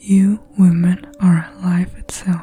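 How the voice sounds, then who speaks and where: Soft-spoken and monotone, the speaker goes at a very slow pace with flat intonation. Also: woman. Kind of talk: spiritual poetry reading.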